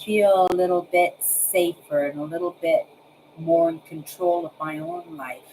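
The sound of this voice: A woman speaks at a fairly slow pace with fairly even intonation. Her tone is slightly mellow, with a slightly husky edge.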